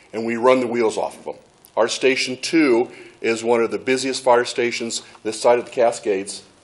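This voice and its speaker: A man speaks over noticeable background noise. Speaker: fire chief. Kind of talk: presentation at public meeting. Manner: fast.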